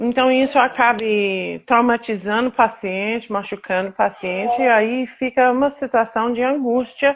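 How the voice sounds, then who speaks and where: The speaker talks at a fairly slow pace with an American accent and ordinary pitch variation. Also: woman. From United States. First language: English (speaking Portuguese). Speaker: patient advocate, association founder. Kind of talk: interview, personal testimony. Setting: live video stream. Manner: halting, with fillers.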